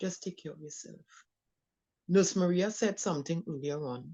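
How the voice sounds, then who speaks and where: A woman does the talking. Ordinary variation marks her pitch. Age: 60s. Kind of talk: panel discussion. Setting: live stream.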